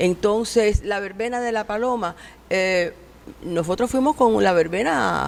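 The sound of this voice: With vocal fry, a woman speaks at a medium pitch and ordinary pitch variation. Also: fairly slow pace.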